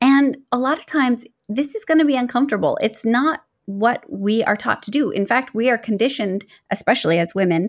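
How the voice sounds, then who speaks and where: An ordinary speaking voice from a woman, fairly high in pitch, lively in intonation, at a moderate pace, in a very clean recording with a silent background. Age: 30s. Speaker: life advice podcaster. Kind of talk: solo podcast monologue.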